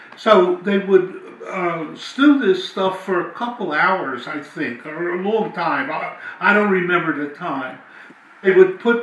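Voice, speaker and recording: In an American accent, a man with a high voice speaks very slowly amid audible room echo. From South Philadelphia, USA. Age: 80s+. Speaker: family elder recalling memories. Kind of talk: interview answer. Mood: animated reminiscing. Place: home room.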